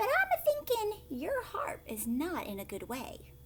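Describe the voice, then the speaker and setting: A woman uses a squeaky, put-on character voice, pitched high. She talks at a moderate pace over clear background noise. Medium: read story.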